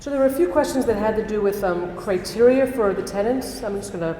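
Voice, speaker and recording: Audible room echo and noticeable background noise surround this woman's voice. She talks at a fairly quick pace with ordinary pitch variation. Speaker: rabbi. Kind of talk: reading audience questions. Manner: fast.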